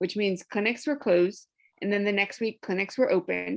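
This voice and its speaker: Speaking at a medium pitch with ordinary pitch variation, a woman has an unremarkable speaking voice. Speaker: abortion rights advocate. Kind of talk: panel discussion.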